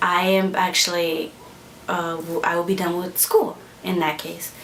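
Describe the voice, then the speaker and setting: A woman with an American accent talks at a fairly slow pace and medium pitch, with audible room echo and noticeable background noise. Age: 20s. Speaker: vlogger. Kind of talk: casual vlog monologue. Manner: halting, many fillers.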